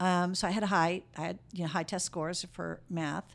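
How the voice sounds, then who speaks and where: On a very clean recording with a silent background, a woman with a normal speaking voice and an American accent talks at a moderate pace with ordinary pitch variation. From Chicago. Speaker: high school English teacher, former military officer. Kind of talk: interview.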